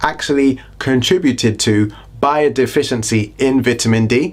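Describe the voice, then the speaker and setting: With a British accent, a man of medium pitch talks at a moderate pace and very even loudness over noticeable background noise. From Britain. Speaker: health and lifestyle YouTuber. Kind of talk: casual educational vlog. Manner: animated.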